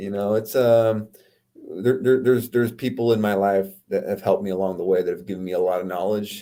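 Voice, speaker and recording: In a Californian accent, a man speaks at a fairly quick pace with fairly even intonation. His voice is fairly low in pitch with a dark, mellow tone. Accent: Californian American. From US West Coast, Oceanside California. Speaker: entrepreneur and author. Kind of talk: podcast interview.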